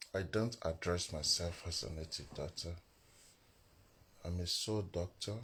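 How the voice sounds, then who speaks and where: Quiet and very deep in pitch, a man speaks with long, frequent pauses on a very clean recording with a silent background. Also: ordinary pitch variation, fairly slow pace. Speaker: spiritual teacher. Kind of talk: live stream teaching. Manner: quiet, low volume.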